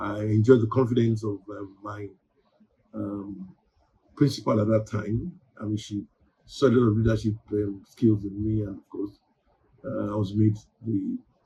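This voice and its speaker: A man with a Nigerian accent, somewhat breathy and dark, mellow in tone, at a moderate pace with fairly even intonation, long, frequent pauses and big swings in loudness. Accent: Nigerian (Yoruba) English. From Nigeria, Ibadan (southwest Yoruba region). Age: 60s. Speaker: newspaper publisher. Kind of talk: interview. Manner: hesitant, many fillers.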